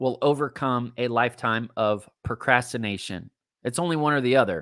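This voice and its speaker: In a very clean recording with a silent background, a man speaks with an animated tone. His pitch is medium with ordinary variation, and his pace is moderate. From Texas. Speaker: life coach. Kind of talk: live-streamed coaching talk.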